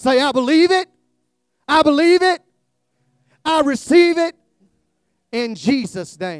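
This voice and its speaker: With an extremely high pitch, a man speaks at a fairly slow pace with lively intonation and long, frequent pauses, the sound dry and close with no echo. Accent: American. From US South, South Georgia. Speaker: guest preacher, former police officer. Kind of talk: fervent revival-style altar call and closing prayer, call-and-response. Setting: church with congregation, streamed live. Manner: drawling, slow; loud, rousing crescendo urging the congregation to clap and shout.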